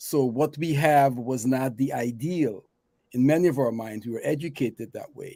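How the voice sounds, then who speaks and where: Medium-pitched male voice with a dark, mellow tone, ordinary pitch variation, big swings in loudness and a moderate pace. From Guyana. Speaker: talk show co-host. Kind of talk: casual chat. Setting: live online show.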